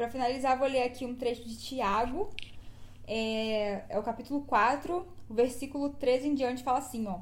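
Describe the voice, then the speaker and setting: High pitch and ordinary pitch variation in a woman's voice. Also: moderate pace. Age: 20s. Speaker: podcast host. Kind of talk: reading aloud; casual chat.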